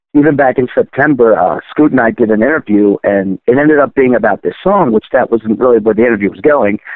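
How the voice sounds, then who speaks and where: A man with an American accent, medium pitch, lively intonation, a very fast pace and hardly any pauses. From Baltimore, Maryland. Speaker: rock singer. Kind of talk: casual interview.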